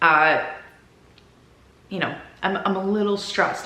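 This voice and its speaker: A woman with a strong Minnesota accent and ordinary pitch variation, amid audible room echo and noticeable background noise. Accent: deep Minnesota. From Minnesota, US. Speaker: lifestyle vlogger. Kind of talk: casual chat. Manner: chatty, talkative.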